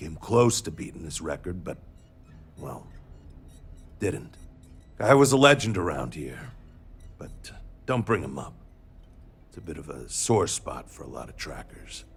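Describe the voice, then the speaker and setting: Putting on a gruff character voice, a man speaks at a moderate pace with very deep, low pitch, very wide pitch swings, big swings in loudness and long, frequent pauses. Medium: video game. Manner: gruff, brash.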